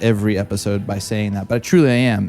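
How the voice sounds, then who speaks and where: A man speaks in an enthusiastic tone. Music plays in the background. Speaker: podcast host. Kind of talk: podcast intro.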